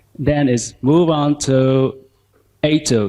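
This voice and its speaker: A man is speaking. He has a Vietnamese accent. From southern Vietnam, Ho Chi Minh City. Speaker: language teacher. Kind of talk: conference talk.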